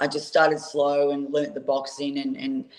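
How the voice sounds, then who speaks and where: At a moderate pace, a woman with an Australian accent speaks in a very deep, low pitch with a monotone, flat intonation. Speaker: professional boxer. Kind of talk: interview.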